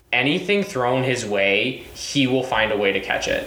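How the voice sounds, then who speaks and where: Speaking with a Michigan accent at a moderate pace, this man has a medium pitch that swings very widely, with noticeable background noise behind him. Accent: Michigan, sounds slightly Canadian. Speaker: guest, college student. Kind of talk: casual chat.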